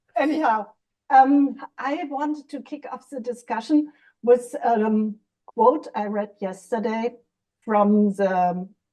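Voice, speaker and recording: At a very slow pace, a woman with a fairly high pitch and a dark, mellow tone talks with ordinary pitch variation. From Germany, West Berlin. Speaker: podcast co-host. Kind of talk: casual discussion. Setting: video call from her kitchen.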